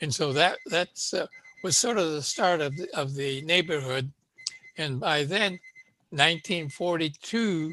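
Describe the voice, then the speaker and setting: With a West Coast accent, a man talks at a fairly high pitch with ordinary pitch variation. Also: fairly slow pace. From Los Angeles, East Hollywood. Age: 90s. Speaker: Japanese-American elder, panelist. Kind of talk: oral history testimony. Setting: video call. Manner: halting, many fillers.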